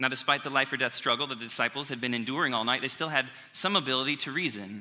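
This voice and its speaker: A man with an American accent and a medium-pitched, bright, sharp tone at a fairly quick pace, in a very clean recording with a silent background. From US Midwest, small town. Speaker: pastor. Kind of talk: sermon. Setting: church.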